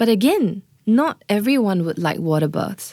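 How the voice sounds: An ordinary speaking voice from a woman at medium pitch, with lively intonation, dry and close with no echo, on a very clean recording with a silent background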